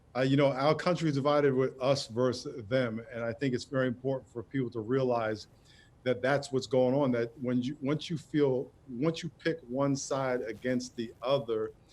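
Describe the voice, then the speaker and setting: A man speaks at a moderate pace and medium pitch with fairly even intonation. It is an ordinary speaking voice. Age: 60s. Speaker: pastor and author. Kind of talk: TV interview.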